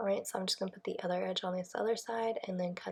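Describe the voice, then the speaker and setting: The voice is somewhat breathy and delivered in a monotone, flat intonation. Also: woman. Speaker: planner decorator, YouTuber. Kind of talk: casual craft voiceover narration.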